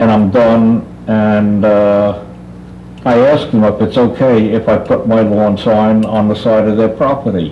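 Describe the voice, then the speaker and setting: A man with an American accent talks at a fairly low pitch in a monotone, flat intonation and very even loudness. Noticeable background noise and audible room echo are present. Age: 80s+. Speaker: tree service owner, public commenter. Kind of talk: public comment at council meeting. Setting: township committee meeting. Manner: halting.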